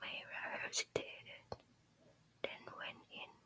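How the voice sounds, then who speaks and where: Whispering at a very slow pace, the speaker has a Thai accent. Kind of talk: ASMR whispered storytime reading. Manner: whispered, soft-spoken.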